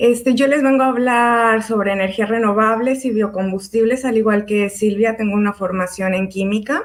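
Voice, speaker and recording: This woman has an unremarkable speaking voice, pitched fairly high with ordinary pitch variation. She speaks at a fairly slow pace. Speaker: chemist, biofuels expert. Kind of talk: online panel talk.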